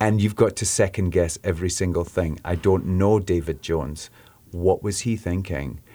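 A man's very deep, low, dark and mellow voice in a Scottish accent, with ordinary pitch variation at a moderate pace, in a very clean recording with a silent background. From Scotland. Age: 50s. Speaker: rock singer. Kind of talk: radio interview. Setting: studio.

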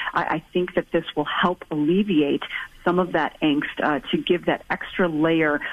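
A woman with an ordinary speaking voice talks at a moderate pace in a fairly low pitch. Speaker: infectious disease physician. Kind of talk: radio call-in Q&A.

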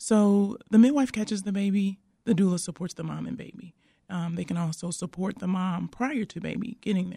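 At a moderate pace, a somewhat breathy woman speaks with a dark, mellow tone, medium pitch and ordinary pitch variation. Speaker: midwife. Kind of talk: radio interview.

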